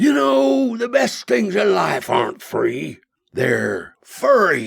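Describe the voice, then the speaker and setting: A put-on character voice from a man, raspy and at a very slow pace. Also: medium pitch for a man. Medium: read story. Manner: rambling, offbeat.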